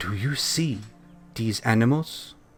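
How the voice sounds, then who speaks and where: A man does a put-on character voice while faint music plays in the background. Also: medium pitch for a man. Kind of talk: divine pronouncement. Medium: actual play. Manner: calm, measured, benevolent.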